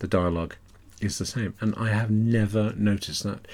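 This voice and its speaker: A man with an English accent, a fairly quick pace and ordinary pitch variation, in a very clean recording with a silent background. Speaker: author doing audio commentary. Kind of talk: DVD-style audio commentary, relaxed solo talk. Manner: relaxed, conversational with fillers.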